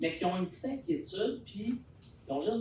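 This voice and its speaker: A man with a Quebec accent speaks at a moderate pace with lively intonation. Audible room echo surrounds his voice. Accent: Québécois French. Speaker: resident speaking at public consultation. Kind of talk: public consultation discussion. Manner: loud.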